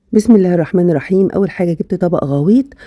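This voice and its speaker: With an Egyptian accent, a woman speaks at a medium pitch and a fairly quick pace in a dark, mellow tone with ordinary pitch variation, in a dry, close sound with no echo. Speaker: cooking channel host. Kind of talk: cooking tutorial. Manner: casual, chatty.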